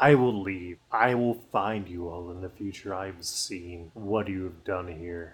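In a put-on character voice, a man talks at a very deep, low pitch and a fairly slow pace with hardly any pauses, on a very clean recording with a silent background. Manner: menacing, defiant.

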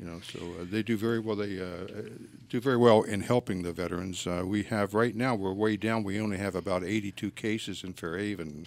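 A man speaks with an American accent at a fairly low pitch, his intonation fairly even. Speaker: veterans agent, navy veteran. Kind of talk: radio interview. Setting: studio.

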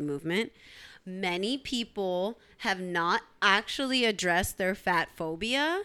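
On a very clean recording with a silent background, a woman with an American accent speaks at a very slow pace and medium pitch, her bright, sharp tone carrying lively intonation. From US, Eritrean family. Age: 30s. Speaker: podcast co-host. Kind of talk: casual chat.

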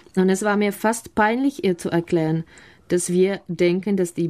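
A dark, mellow tone with a Czech accent and fairly even intonation. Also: woman. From Czech Republic, near Prague. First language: Czech (speaking German). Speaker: mother of five living abroad. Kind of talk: radio interview. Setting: studio.

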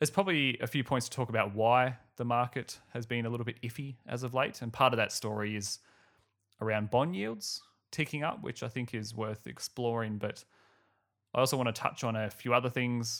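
Here a man speaks quickly, with an Australian accent and ordinary pitch variation. The recording is very clean, its background silent. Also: medium pitch for a man. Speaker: finance podcast host. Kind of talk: solo podcast commentary. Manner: casual, laughs often.

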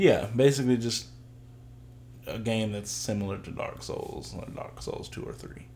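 A man talks rather unhurriedly in a room with audible echo, with clear background noise behind him. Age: 20s. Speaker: podcast co-host. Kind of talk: casual chat.

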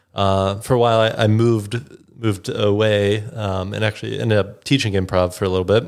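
An American-accented man with an ordinary speaking voice talks at a moderate pace and fairly low pitch with fairly even intonation, in a very clean recording with a silent background. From Chicago, US Midwest. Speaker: improviser and musician. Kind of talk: casual interview chat.

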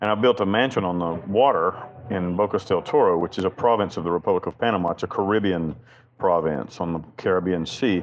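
A man is speaking. He has a Southern US accent. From US South, western North Carolina. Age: 40s. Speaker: prison inmate and chaplain. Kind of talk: interview.

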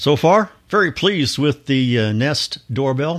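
Speaking at a fairly slow pace with an American accent, a man uses a medium pitch with very wide pitch swings. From Kansas. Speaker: listener contributor. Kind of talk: recorded voice message.

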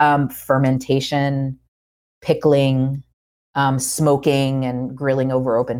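A woman with an American accent speaks at a very slow pace in a very deep, low pitch, captured in a very clean recording with a silent background. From US South. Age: 30s. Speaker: cookbook author and food professor. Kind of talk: casual interview. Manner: halting, many fillers and repeats.

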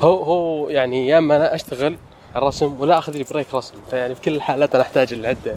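At a very fast pace, a man speaks in a fairly high pitch with fairly even intonation. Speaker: architect and artist. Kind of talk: casual chat. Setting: walking in a garden. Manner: conversational, hesitant with fillers.

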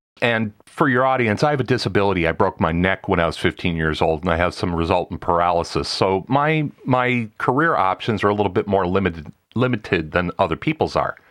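A man with an American accent and a plain, everyday voice, fairly low pitch, lively intonation, fairly quick pace, hardly any pauses, very even loudness, a quiet background and a dry, close sound with no echo. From US Midwest, Wisconsin. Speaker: professional voice actor and podcast producer. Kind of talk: casual interview conversation.

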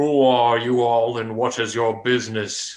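Putting on a booming character voice, a man speaks at a moderate pace and medium pitch with a monotone, flat intonation. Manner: commanding, demanding.

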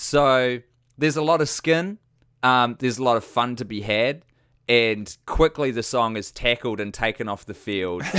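This man has a New Zealand accent and a bright, sharp tone at a medium pitch. He talks at a moderate pace with ordinary pitch variation on a very clean recording with a silent background. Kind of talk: casual chat.

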